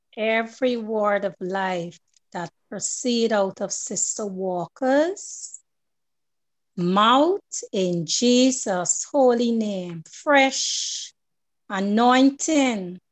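Over a quiet background, a woman talks very slowly at a fairly high pitch with lively intonation. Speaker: program moderator. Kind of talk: church program hosting. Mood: fervent, worshipful. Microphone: video call.

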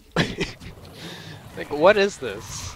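A man speaks over noticeable background noise. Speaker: gamer. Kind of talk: gameplay commentary. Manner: casual, hesitant with fillers.

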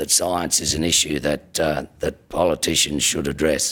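Against a quiet background, a man with a very deep, low pitch and an Australian accent speaks in a monotone, flat intonation. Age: 50s. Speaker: government minister. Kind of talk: political speech. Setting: stage with audience. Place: hall. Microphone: podium.

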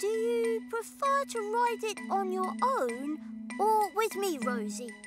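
A cartoonish character voice speaks at a fairly high pitch and a fairly slow pace. Loud music plays in the background. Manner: lively, inquisitive.

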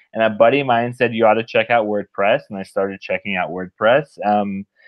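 Against a quiet background, a man talks at a fairly quick pace. His intonation stays fairly even. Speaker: remote podcast guest. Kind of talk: interview answer. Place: home room. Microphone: video call.

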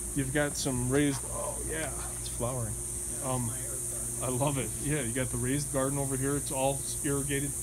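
Over noticeable background noise, a man speaks at a fairly quick pace. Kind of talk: walking property tour commentary. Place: garden. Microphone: phone near.

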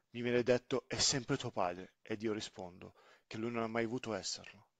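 This man talks at a fairly quick pace, with a quiet background behind him. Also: dry, close sound with no echo. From Sicily, then grew up in northern Italy. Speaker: storyteller, father. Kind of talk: personal testimony narration.

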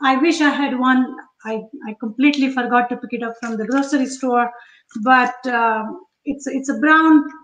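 A woman with a high pitch speaks at a moderate pace and fairly even intonation, with audible room echo around her. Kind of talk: live cooking tutorial chat. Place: kitchen. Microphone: webcam.

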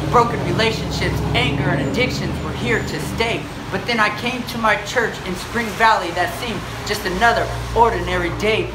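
Against noticeable background noise, the speaker keeps a moderate pace and ordinary pitch variation. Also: man. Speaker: spoken word poet. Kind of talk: spoken word testimony, memorized. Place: street. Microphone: phone near.

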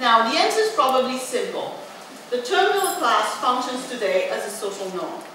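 A woman's raised, projected voice, high in pitch with very wide pitch swings, moves at a moderate pace through strong room echo and light background noise. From France, working-class regional background. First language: French. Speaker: professor. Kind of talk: lecture. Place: hall.

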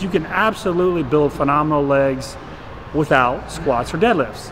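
The speaker keeps a moderate pace, and noticeable background noise can be heard. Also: man. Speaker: fitness coach. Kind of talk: casual tutorial talk to camera. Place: gym.

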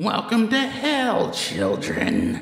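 Here a man puts on a shrill character voice. Clear echo surrounds it. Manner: menacing, mocking.

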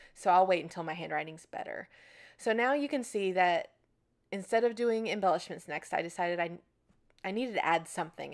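A woman with an unremarkable speaking voice talks at a fairly low pitch with ordinary pitch variation. The recording is very clean, with a silent background. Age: 30s. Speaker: scrapbooking video creator. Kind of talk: tutorial voiceover narration. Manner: casual, chatty.

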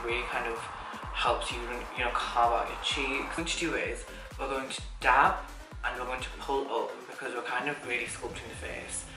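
Clear music plays in the background. The room echo is audible. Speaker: makeup vlogger. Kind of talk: tutorial. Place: home room.

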